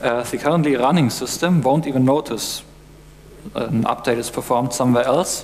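With light background noise behind him, a man talks at a moderate pace with ordinary pitch variation. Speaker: conference presenter. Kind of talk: lecture. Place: stage.

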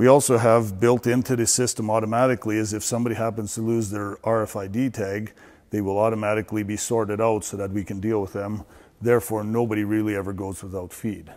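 This man talks at a very fast pace in a fairly low pitch, his intonation monotone and flat. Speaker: barn equipment guide. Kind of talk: walk-through tour explanation. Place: farm machine. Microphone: lapel.

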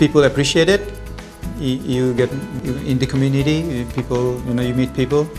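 A man's moderately paced speech with fairly even intonation, clear music in the background. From Bangladesh. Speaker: architect. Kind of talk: interview answer. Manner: soft-spoken. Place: office.

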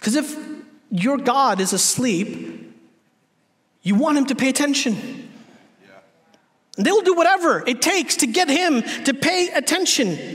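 A man speaks at extremely high pitch with a fairly bright tone and lively intonation. His pace is fairly slow, with long, frequent pauses.

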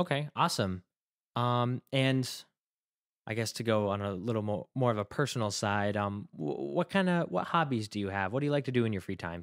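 Over a quiet background, a man speaks in a normal speaking voice at a medium pitch and moderate pace, with lively intonation. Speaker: college radio host. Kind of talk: casual interview. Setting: radio studio. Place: studio.

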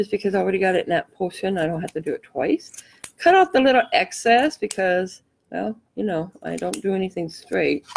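Heard in a dry, close recording with no echo, a woman talks at a fairly quick pace. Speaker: craft tutorial host. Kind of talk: live craft tutorial. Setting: live stream. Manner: casual, chatty.

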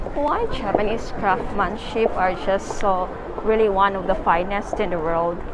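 At a very slow pace, the words come through noticeable background noise. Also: woman. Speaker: travel vlogger. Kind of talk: casual vlog chat. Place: shop. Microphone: phone near.

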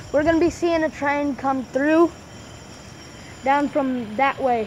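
Over light background noise, a woman talks at a fairly slow pace in a high pitch. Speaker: amateur vlogger. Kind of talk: casual vlog chat. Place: station. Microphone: phone near.

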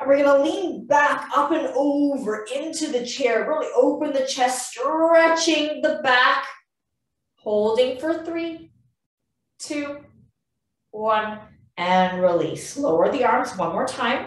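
Speaking very slowly at a high pitch, a woman uses lively intonation while the room echo is audible. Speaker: physiotherapist. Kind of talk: guided exercise class. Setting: video call. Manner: calm, clear, step-by-step cueing; encouraging. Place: home room. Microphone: webcam.

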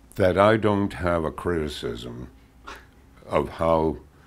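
Very slow speech from a man with a very deep, low pitch and vocal fry. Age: 80s+. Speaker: cartoonist. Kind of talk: interview answer. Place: studio. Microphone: lapel.

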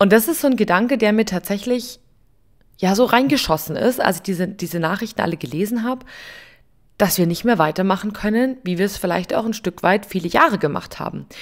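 A woman talks in a plain, everyday voice at medium pitch, with lively intonation and a fairly quick pace. The recording is very clean, with a silent background. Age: 30s. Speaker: podcast host and coffee machine seller. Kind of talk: casual solo podcast monologue. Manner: informal, chatty with fillers.

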